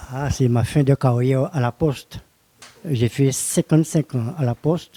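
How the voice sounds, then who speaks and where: A man's somewhat breathy, dark, mellow voice at a medium pitch, with ordinary pitch variation and a very slow pace, in a dry, close sound with no echo. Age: 70s. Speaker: retired postal worker and bodybuilder. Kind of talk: interview. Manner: halting.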